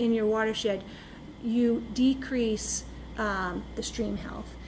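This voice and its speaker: Audible room echo surrounds a woman whose pitch sits fairly high. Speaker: lake management consultant. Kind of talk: presentation to town council. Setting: town council meeting.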